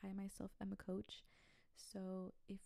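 Her voice is a plain, everyday voice, pitched medium for a woman. The intonation is fairly even. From Texas, Brownsville. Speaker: podcast host, spiritual wellness coach. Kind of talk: casual solo podcast monologue. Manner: casual, conversational.

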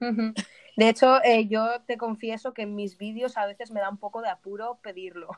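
A woman has an ordinary speaking voice, fairly high in pitch and fairly even in intonation, with big swings in loudness and a dry, close sound with no echo. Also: moderate pace. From Spain, Alicante. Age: 20s. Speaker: community manager. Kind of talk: interview. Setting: remote call from Spain.

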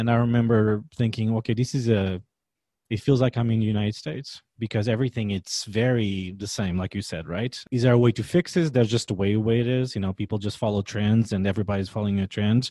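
Very fast and fairly low-pitched, a man with a Portuguese accent speaks in a dark, mellow tone with fairly even intonation, the sound dry and close with no echo. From Portugal. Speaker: podcast host, chef. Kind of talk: interview.

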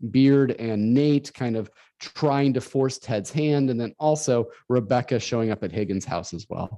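A man with a Midwestern US accent and a dark, mellow tone, at a fairly slow pace. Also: medium pitch for a man, ordinary pitch variation. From northern Illinois. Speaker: podcast host. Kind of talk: casual chat.

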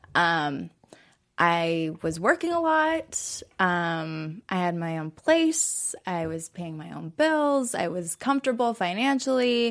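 A woman with a Californian accent at a medium pitch, very slow pace and very wide pitch swings, on a very clean recording with a silent background. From Southern California, Orange County. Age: 20s. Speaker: dancer in recovery from addiction. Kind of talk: interview. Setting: studio.

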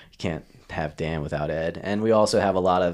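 Speaking at a moderate pace, a man with an American accent has a very deep, low voice. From Maryland, US. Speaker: downhill skateboarder and event organizer. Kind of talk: casual chat.

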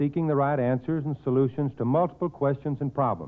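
A man speaks at a fairly quick pace with ordinary pitch variation. He has a normal speaking voice. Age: 40s. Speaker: service club director. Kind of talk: 1940s prepared radio speech. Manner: formal.

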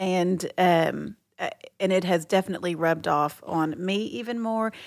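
With an American accent, a woman speaks in an ordinary speaking voice at medium pitch and a moderate pace. Her intonation is fairly even on a very clean recording with a silent background. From Texas. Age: 40s. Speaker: host's wife. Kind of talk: casual chat.

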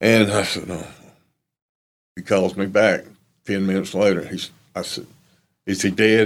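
A man with an American accent speaks in a fairly low, monotone, flat voice, leaving long, frequent pauses. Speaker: bereaved father and former NASCAR crew chief. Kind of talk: tearful eulogy-like testimony about his late son. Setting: recorded interview. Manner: halting, choked with grief; raw, sincere, slow and emotional.

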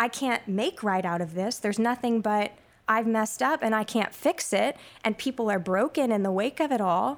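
In an ordinary speaking voice, a woman talks at a moderate pace with a fairly high pitch and lively intonation, on a very clean recording with a silent background. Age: young. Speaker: stage actor. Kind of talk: interview.

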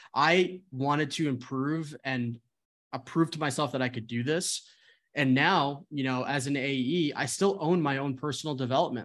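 With an American accent, a man speaks in a plain, everyday voice at a moderate pace. His pitch is fairly high and his intonation fairly even, against a quiet background. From New Jersey. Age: 20s. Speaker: sales executive. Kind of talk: casual chat.

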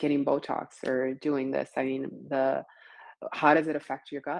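The speaker keeps a moderate pace with monotone, flat intonation. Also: woman. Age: 40s. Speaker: gut health coach. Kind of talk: interview.

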